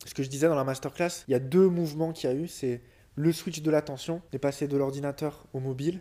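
Fairly quick and fairly even in intonation, a man speaks at a fairly high pitch with a dark, mellow tone. The recording is very clean and the background silent. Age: 30s. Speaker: business coach and entrepreneur. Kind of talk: casual interview.

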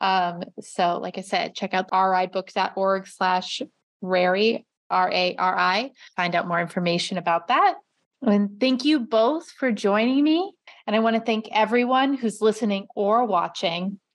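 This woman has an ordinary speaking voice, talking at a fairly slow pace with ordinary pitch variation. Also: medium pitch for a woman. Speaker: librarian and podcast host. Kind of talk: interview podcast.

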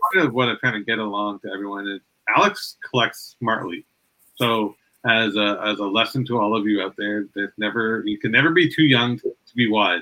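Here is a man with an unremarkable speaking voice and a medium pitch. He talks at a fairly quick pace with ordinary pitch variation. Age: 40s. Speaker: podcast host. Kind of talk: casual chat.

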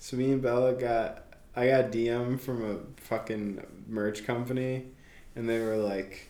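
A man's dark, mellow voice at medium pitch, very slow in pace, with fairly even intonation and audible room echo. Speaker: podcast co-host. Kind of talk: casual chat.

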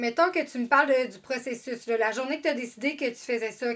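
A woman with a high pitch talks at a moderate pace and with fairly even intonation. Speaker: podcast host, mother. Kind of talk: casual interview.

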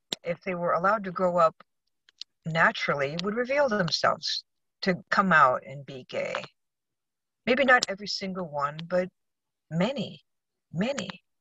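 With an American accent, a woman speaks at a medium pitch and moderate pace in a bright, sharp tone, using lively intonation, big swings in loudness and long, frequent pauses, in a dry, close sound with no echo. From Arizona, US West. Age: 60s. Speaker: electrical inspector. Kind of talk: interview. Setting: in a car, remote call.

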